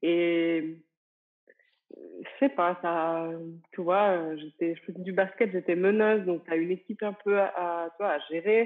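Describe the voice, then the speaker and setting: A woman speaks very slowly at a fairly low pitch, with ordinary pitch variation. Her loudness swings widely over a quiet background. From France, small village. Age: 30s. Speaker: entrepreneur and business coach; business coach. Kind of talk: interview. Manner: casual, hesitant with many fillers. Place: home room. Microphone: earbuds.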